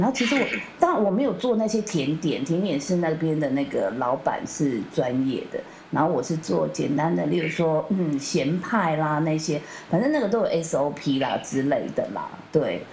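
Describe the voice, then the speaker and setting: A woman with a very deep, low voice speaks at a moderate pace with very wide pitch swings, amid audible room echo and noticeable background noise. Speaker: podcast host. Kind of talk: casual chat.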